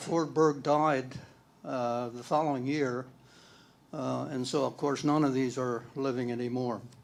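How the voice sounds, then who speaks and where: A man speaks at a medium pitch and a fairly slow pace. His intonation stays fairly even, with audible room echo around him. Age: 80s+. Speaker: former church elder. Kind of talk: reminiscence talk at church panel.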